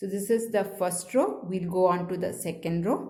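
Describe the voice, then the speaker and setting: In a room with audible echo, a woman speaks at a medium pitch and fairly slow pace, her somewhat breathy voice dark and mellow in tone, with ordinary pitch variation. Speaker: crochet teacher. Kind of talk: tutorial.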